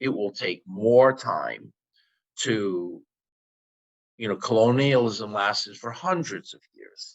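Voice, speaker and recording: In a New York accent, the speaker talks very slowly with long, frequent pauses, big swings in loudness, and ordinary pitch variation. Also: man, medium pitch for a man. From New York, the Bronx. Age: 60s. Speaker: activist. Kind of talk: interview. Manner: halting.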